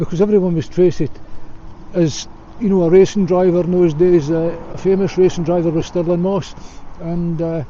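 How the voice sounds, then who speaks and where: Noticeable background noise sits behind a man with a Scottish accent and a high voice. His delivery is flat and monotone at a moderate pace. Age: 60s. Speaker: vlogger. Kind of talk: casual monologue to camera. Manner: hesitant with frequent fillers.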